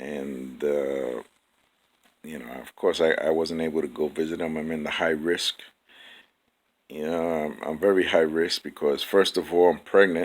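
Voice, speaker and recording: A man's very deep, low voice, with long, frequent pauses, big swings in loudness and fairly even intonation. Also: moderate pace. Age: 60s. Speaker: vlogger. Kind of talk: casual monologue. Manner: halting, many fillers and repeats.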